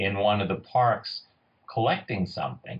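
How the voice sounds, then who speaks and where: A man with a fairly low pitch speaks in a somewhat breathy voice with a New York accent. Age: 60s. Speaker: forager and foraging tour leader. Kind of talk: interview with storytelling. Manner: animated.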